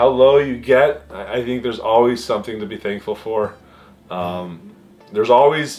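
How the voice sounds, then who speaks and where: Music in the background behind a man at a moderate pace, with a medium pitch and ordinary pitch variation. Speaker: YouTube hobbyist and mechanical engineer. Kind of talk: casual vlog monologue. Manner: halting, many fillers.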